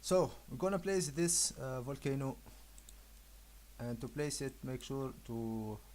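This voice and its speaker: With a non-native accent, the speaker delivers the words at a fairly slow pace. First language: not English. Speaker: 3D graphics tutorial maker. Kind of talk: software tutorial. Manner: hesitant, many filler uhs.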